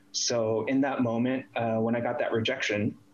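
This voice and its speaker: A man's voice over noticeable background noise. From US East Coast, Northern Virginia / DC area. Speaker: industrial designer. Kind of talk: casual interview.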